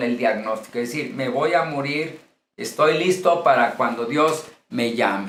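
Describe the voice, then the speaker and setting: A man's fairly high pitch with ordinary pitch variation, a fairly slow pace, and audible room echo. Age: 60s. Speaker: pastor. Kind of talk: lecture.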